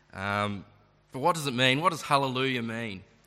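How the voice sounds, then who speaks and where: Through audible room echo, a man at medium pitch speaks with a bright, sharp tone. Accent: Australian. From Tasmania, Australia (Launceston). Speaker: preacher. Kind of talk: sermon.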